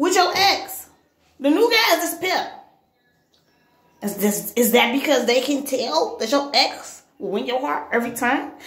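A woman talks at a moderate pace with audible room echo around her. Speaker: vlogger. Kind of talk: casual vlog chat. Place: bathroom. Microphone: phone near.

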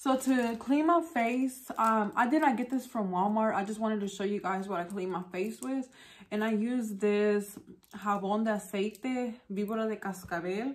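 At a fairly slow pace, a woman talks, her pitch varying in an ordinary way. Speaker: beauty vlogger. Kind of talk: casual vlog chat. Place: home room.

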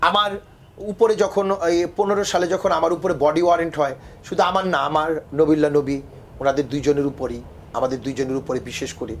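This man has an unremarkable speaking voice at a fairly high pitch. His pitch varies in an ordinary way. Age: 50s. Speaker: opposition party politician. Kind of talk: interview testimony.

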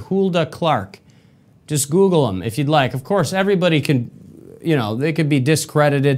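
A man with an American accent talks with lively intonation. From Michigan, US. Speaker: podcast host. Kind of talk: solo commentary monologue. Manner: animated, repetitive. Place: studio.

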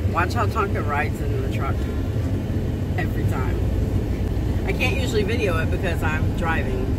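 A woman speaks at a moderate pace. The sound is dry with no echo, but loud background noise fills it. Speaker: pet owner vlogger. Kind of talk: casual vlog chat. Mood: amused, laughing. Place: car. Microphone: phone near.

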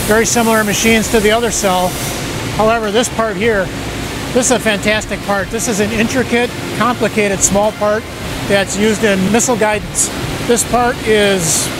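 A man speaks at a fairly quick pace, with a dry sound and no echo. Music plays in the background. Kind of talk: shop tour explanation. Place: factory. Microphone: lapel.

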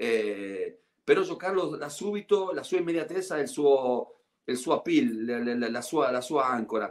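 A man with a Spanish accent speaks at a fairly slow pace and fairly high pitch, making very wide pitch swings against a quiet background. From Argentina. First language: Spanish (speaking Italian). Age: 50s. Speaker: former basketball player and TV commentator; guest. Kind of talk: casual interview. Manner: halting, many repetitions. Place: home room. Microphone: video call.

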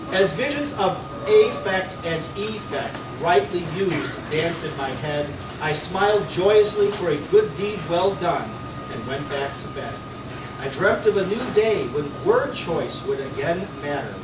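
Noticeable background noise sits behind this recording. A man speaks at a fairly slow pace. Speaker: open mic reader. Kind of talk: humorous poetry reading. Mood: playful, comic. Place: cafe.

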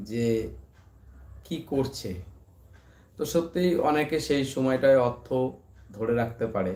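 A man speaks at a medium pitch with a dark, mellow tone. His pitch varies in an ordinary way. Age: 30s. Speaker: YouTuber and barber. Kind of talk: casual live stream chat. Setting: late-night live stream at home.

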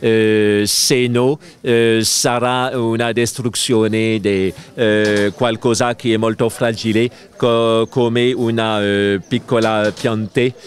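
A man speaks very slowly in a flat monotone at a very even volume, with light background noise and a dry sound that has no echo. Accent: French. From France. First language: French (speaking Italian). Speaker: spiritual teacher; interviewed yoga teacher at congress. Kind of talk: interview. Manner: halting. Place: garden. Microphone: handheld.

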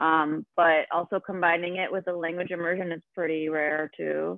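Speaking at a moderate pace, a woman has a fairly low pitch and a plain, everyday voice. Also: quiet background, dry sound with no echo. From Argentina, raised in US. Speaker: forest school director; guest, educator. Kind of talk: panel talk. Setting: video call. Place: home room. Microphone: video call.

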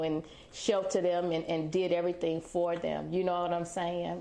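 A woman speaks at a medium pitch. Light background noise can be heard. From South Carolina. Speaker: business owner, former prisoner. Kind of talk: personal testimony interview. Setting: on location at her branding agency. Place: studio.

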